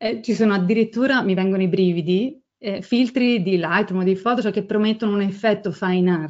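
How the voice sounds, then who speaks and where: At a fairly quick pace with hardly any pauses, a woman speaks at a medium pitch with ordinary pitch variation over a quiet background. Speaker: photographer and photo editing instructor. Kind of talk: webinar lecture. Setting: online webinar. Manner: fast.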